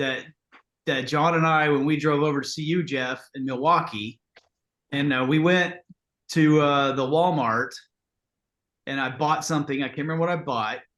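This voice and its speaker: With a Southern US accent, the speaker keeps a moderate pace and fairly even intonation but leaves long, frequent pauses. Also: man. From Texas. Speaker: podcast guest. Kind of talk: casual chat.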